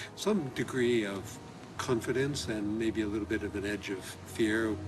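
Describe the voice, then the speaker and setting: Over noticeable background noise, a man speaks at a moderate pace in a fairly low voice. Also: fairly even intonation. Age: 70s. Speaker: home gardener. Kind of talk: documentary interview.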